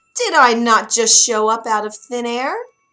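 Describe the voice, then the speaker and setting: At a moderate pace, a put-on character voice is performed. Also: female-sounding voice, fairly high pitch for a woman. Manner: huffy, indignant.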